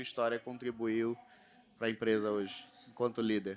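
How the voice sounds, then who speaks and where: A man with a Rio de Janeiro accent speaks at medium pitch and a moderate pace. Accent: carioca. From Rio de Janeiro, Brazil. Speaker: panel moderator. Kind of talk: panel discussion. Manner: animated.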